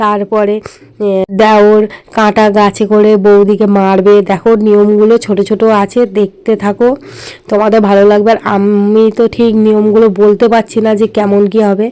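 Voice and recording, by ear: A woman speaks at medium pitch and a moderate pace, with few pauses and little pitch movement. Her tone is clear and smooth, dark and mellow.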